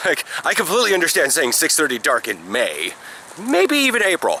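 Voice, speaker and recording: There's noticeable background noise here. Through it, a man speaks at a moderate pace. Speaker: semi-pro football player. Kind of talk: casual vlog talk.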